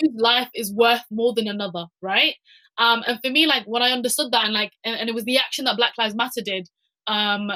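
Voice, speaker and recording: A woman with a British accent speaks at a fairly quick pace in a fairly high, bright, sharp voice, with fairly even intonation and a dry, close sound with no echo. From UK, Somali heritage. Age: young. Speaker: climate activist. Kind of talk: panel discussion. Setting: webinar video call. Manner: halting, many fillers and repetitions.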